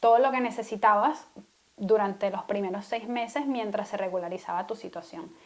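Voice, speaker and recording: Her pace is moderate and her pitch varies in an ordinary way. It is a normal speaking voice. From Venezuela. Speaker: podcast co-host. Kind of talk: casual chat.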